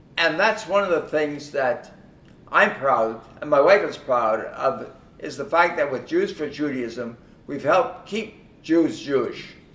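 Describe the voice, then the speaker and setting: A man at a fairly slow pace with audible room echo. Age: 90s. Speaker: longtime supporter of the organization. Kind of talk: speech at a concert event. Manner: halting, with repetitions.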